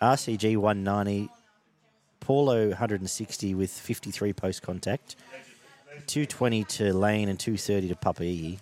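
In an Australian accent, a man talks at a very slow pace with fairly even intonation. His pitch sits fairly low. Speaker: rugby league podcast host. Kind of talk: casual chat.

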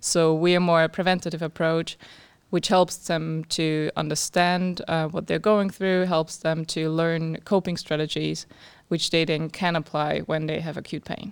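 A woman's fairly low, monotone voice with flat intonation, at a moderate pace, in a very clean recording with a silent background. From Austria. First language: German. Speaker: startup founder. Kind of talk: interview.

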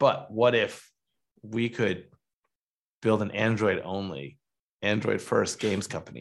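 With an American accent, a man speaks at a fairly slow pace with long, frequent pauses, a fairly low pitch, ordinary pitch variation and vocal fry, against a quiet background. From Michigan. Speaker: venture capital investor. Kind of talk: interview.

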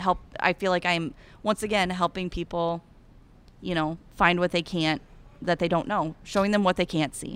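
A woman with an Iowan accent speaks at a moderate pace in a fairly low voice with ordinary pitch variation. The recording is very clean, with a silent background. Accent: Iowan, Upper Midwest. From Eastern Iowa. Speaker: cattle rancher and ambassador. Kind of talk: casual interview chat. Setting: convention booth.

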